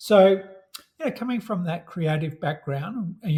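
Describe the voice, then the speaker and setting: In an Australian accent, a man speaks with a dark, mellow tone. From Australia, Melbourne. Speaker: software company representative. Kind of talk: casual interview.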